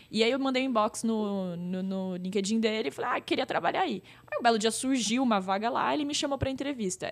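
With a plain, everyday voice, a woman speaks at a fairly quick pace with hardly any pauses. Her pitch is fairly high and her intonation lively. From interior of São Paulo state, Brazil (Pirajuí). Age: 30s. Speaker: influencer marketing entrepreneur. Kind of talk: casual interview. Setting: in-person studio recording.

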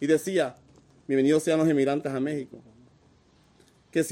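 A man with a Honduran accent, fairly high in pitch, dark and mellow in tone. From Honduras, north coast Garifuna community. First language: Garifuna (speaking Spanish). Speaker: migrant. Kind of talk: interview. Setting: migrant shelter.

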